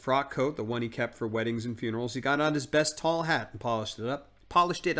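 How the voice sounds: Normal rises and falls of pitch across an unaffected reading voice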